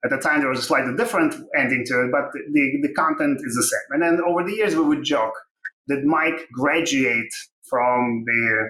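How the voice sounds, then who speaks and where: At a moderate pace, a man speaks with a Russian accent. His fairly high pitch shows ordinary pitch variation. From Ukraine. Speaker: tech company co-founder and CTO. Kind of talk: interview.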